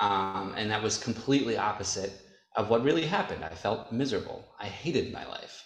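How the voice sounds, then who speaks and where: Somewhat breathy and fairly low in pitch, a man with an American accent talks at a fairly quick pace with ordinary pitch variation. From upstate New York. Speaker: adult film performer. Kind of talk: casual chat.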